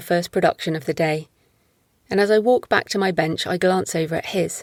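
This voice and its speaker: A woman's fairly low voice with ordinary pitch variation at a moderate pace, dry and close with no echo, on a very clean recording with a silent background. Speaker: author narrating own fiction. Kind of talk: audiobook short story reading.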